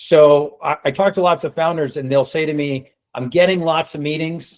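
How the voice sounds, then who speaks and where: His pitch sits fairly high. This man has an American accent and keeps a moderate pace. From United States. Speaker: sales consultant. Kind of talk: webinar presentation.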